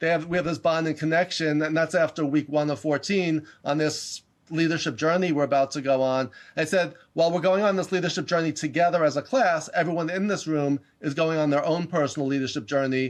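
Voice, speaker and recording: Against a quiet background, a man with a New York accent speaks at a fairly quick pace in a fairly high pitch. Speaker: leadership educator and professor. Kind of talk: interview. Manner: fast; animated.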